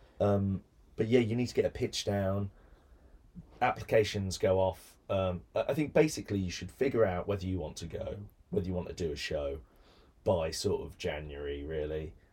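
Against a silent background on a very clean recording, a man speaks at a moderate pace with a fairly low pitch and a dark, mellow tone. His delivery is somewhat breathy, with lively intonation. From Birmingham, England. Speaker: actor and comedy writer. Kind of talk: casual interview chat. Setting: recording studio. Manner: projects his voice well.

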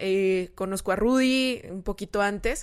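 At a fairly slow pace, a woman with an ordinary speaking voice and ordinary pitch variation talks on a very clean recording with a silent background. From San Luis Potosí, Mexico. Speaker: nutritionist and social media influencer. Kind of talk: casual chat.

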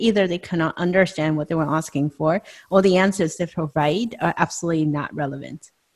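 On a very clean recording with a silent background, a woman uses a plain, everyday voice, fairly low in pitch, with fairly even intonation at a moderate pace. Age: 40s. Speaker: podcast host. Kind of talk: casual chat.

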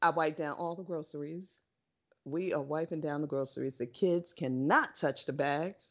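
A woman with an American accent speaks at a moderate pace in a very deep, low voice, keeping her intonation fairly even. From New York. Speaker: podcast co-host. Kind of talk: casual chat.

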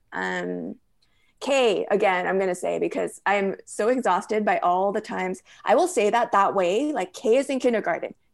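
A woman speaks with a Californian accent at a moderate pace. The background is quiet. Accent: Californian American. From Los Angeles area. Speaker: novelist. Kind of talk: interview conversation. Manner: hesitant, many fillers.

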